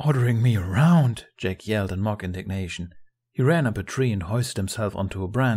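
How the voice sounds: A natural reading voice with ordinary pitch variation, set against a quiet background.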